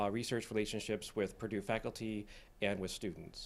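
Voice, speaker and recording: A man with an ordinary speaking voice talks at medium pitch and a moderate pace, his intonation fairly even. The recording is very clean, with a silent background. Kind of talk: introductory remarks. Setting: seminar room.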